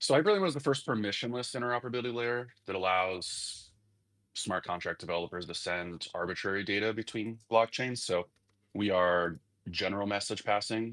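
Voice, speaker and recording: This man has a normal speaking voice, fairly low in pitch, with ordinary pitch variation and a moderate pace. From United States. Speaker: crypto company ecosystem lead. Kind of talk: live audio interview. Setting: online audio space.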